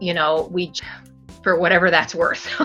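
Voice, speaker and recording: With music in the background, a woman talks in a General American accent. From Arizona. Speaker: actor and voice over artist. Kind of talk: interview answer. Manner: thoughtful, hesitant.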